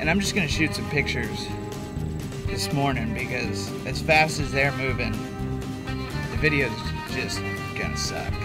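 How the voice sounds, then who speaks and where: Loud music plays in the background as a man speaks at a moderate pace. He leaves long, frequent pauses. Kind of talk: casual vlog chat. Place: car. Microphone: phone near.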